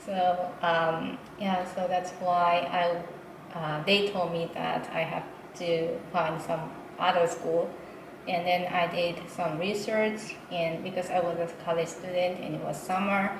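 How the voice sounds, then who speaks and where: A woman with a fairly low pitch speaks at a very slow pace in a monotone, flat intonation. Noticeable background noise and audible room echo fill the recording. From Japan, Nara. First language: Japanese. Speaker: interpreter. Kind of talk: interview. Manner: hesitant, many fillers.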